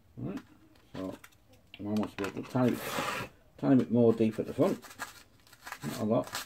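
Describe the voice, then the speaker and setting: A man with an English accent speaks at a moderate pace, with lively intonation and big swings in loudness. Long, frequent pauses break up his speech over noticeable background noise. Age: 50s. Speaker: model-building YouTuber. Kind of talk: hobby tutorial. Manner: casual, chatty. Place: home room. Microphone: phone near.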